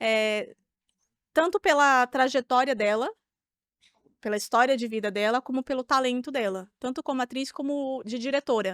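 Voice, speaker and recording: Dry and close with no echo, a woman speaks in a high-pitched voice. She leaves long, frequent pauses. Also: ordinary pitch variation, moderate pace, very clean recording, silent background. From Brazil. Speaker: actress. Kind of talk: interview answer. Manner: casual.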